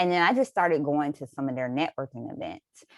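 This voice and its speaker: In a North Florida accent, a woman with a very deep, low voice speaks at a fairly quick pace, recorded very cleanly against a silent background with a dry, close sound and no echo. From North Florida, Jacksonville. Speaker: lawyer, law school alumna. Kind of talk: panel discussion.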